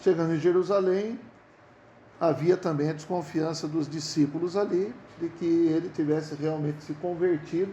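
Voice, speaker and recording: With audible room echo, a man speaks at a fairly slow pace in a fairly high pitch with ordinary pitch variation. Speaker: bible study teacher. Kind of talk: bible study lecture. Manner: halting, repeats words.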